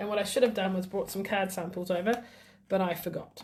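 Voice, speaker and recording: The woman speaks at a fairly quick pace with ordinary pitch variation. Her voice sounds somewhat breathy. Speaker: craft demonstrator. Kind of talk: live craft tutorial. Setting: Facebook Live stream. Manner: casual, chatty with fillers.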